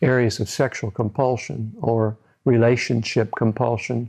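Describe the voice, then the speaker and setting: A man's medium-pitched, dark, mellow voice with an American accent, moderate pace and monotone, flat intonation. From US Midwest, central Illinois. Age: 70s. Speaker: psychologist. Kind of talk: interview monologue. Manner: halting, with repetitions.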